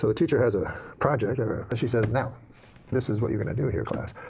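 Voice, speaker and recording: Through noticeable background noise, a man talks very fast at a medium pitch with ordinary pitch variation. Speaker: comedian. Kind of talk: comedic joke storytelling.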